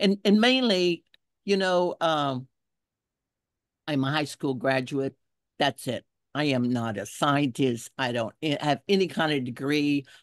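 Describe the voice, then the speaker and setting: A woman with a very deep, low pitch talks fairly slowly, with lively intonation and long, frequent pauses. The sound is dry and close with no echo, over a quiet background. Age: 70s. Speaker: environmental activist. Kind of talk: testimony.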